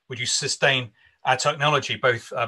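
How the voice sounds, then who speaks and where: Against a quiet background, a man with a bright, sharp tone speaks at a moderate pace. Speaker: minister hosting an online conference. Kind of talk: conference host introduction and prayer. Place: home room. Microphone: video call.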